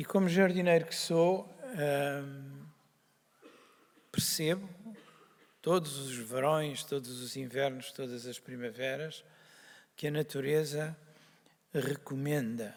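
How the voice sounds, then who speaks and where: Speaking at a very slow pace with long, frequent pauses, a man with a fairly high pitch shows big swings in loudness and ordinary pitch variation. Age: 60s. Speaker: doctor, organization founder. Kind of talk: opening speech. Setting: stage with audience. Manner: hesitant, with many fillers.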